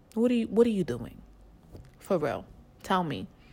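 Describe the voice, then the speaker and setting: With a New York accent, a woman speaks at a moderate pace in an animated tone with lively intonation. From the Bronx, New York. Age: 20s. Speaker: podcast host. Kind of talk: casual chat, comedic rant. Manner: animated, brash.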